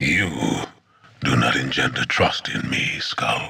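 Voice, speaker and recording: A man growls in a put-on character voice with a very deep, low pitch at a fairly slow pace. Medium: video game. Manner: cold, stern, formal.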